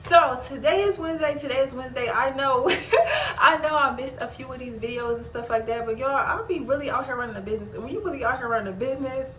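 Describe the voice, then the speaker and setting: With audible room echo and noticeable background noise, a high-pitched woman talks at a very fast pace, her loudness swinging widely. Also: ordinary pitch variation. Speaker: small business owner and content creator. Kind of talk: casual vlog tutorial. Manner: casual, repetitive.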